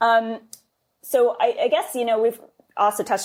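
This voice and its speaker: Woman with a New York accent in a very clean recording with a silent background. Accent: New York American. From New York, US. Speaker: podcast host. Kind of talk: interview conversation.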